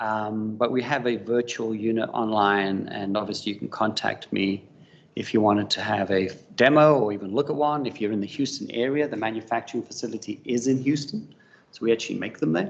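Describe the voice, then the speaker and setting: A man with a South African accent talks at a fairly quick pace. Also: medium pitch for a man, ordinary pitch variation. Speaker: business development manager, industry presenter. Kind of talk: conference presentation. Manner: hesitant, many fillers.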